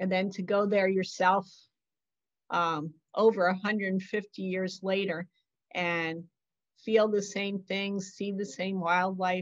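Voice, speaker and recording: Over a quiet background, a woman speaks at a very slow pace. Her intonation is monotone and flat. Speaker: author and solo canoe adventurer. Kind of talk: illustrated author talk. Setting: video call. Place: home room. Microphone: video call.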